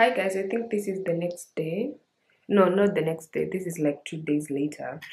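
A woman's somewhat breathy, fairly low voice at a moderate pace, with ordinary pitch variation. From Kenya. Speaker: lifestyle vlogger. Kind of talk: casual vlog. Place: home room. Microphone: phone near.

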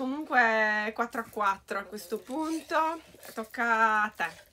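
A woman with a Sardinian accent, fairly high-pitched, very slow, with lively intonation, a bright, sharp tone and light background noise. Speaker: beauty YouTuber. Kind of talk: casual talk to camera. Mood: cheerful, playful. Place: home room. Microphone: camera far.

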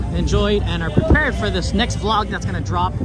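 A man talks at a very fast pace with ordinary pitch variation. The sound is dry with no echo, and loud music plays in the background. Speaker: vlogger giving a live walking tour. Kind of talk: casual vlog chat. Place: waterside. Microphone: phone near.

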